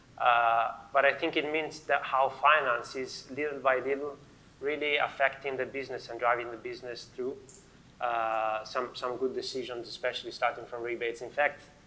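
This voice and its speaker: Spoken with an Italian accent, this voice has a bright, sharp tone, a monotone, flat delivery, and a moderate pace. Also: man, medium pitch for a man. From Italy. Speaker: finance manager. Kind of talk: panel discussion.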